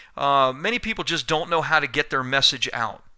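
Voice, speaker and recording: A man's bright, sharp tone comes through a very clean recording with a silent background. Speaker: business coach and author. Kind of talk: sales pitch.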